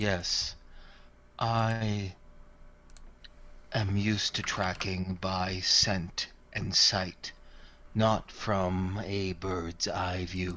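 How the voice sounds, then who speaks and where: Using a put-on character voice at a very deep, low pitch, a man speaks at a very slow pace with long, frequent pauses. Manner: gruff.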